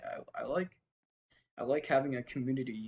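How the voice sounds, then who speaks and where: A man is speaking. Music plays in the background. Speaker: gaming YouTuber. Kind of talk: casual gameplay commentary. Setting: at computer recording gameplay. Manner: halting, filler-heavy.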